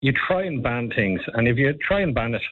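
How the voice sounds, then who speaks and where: Speaking at a fairly quick pace, a man with an Irish accent uses ordinary pitch variation. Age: 50s. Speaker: advocacy group spokesperson. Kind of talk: radio interview.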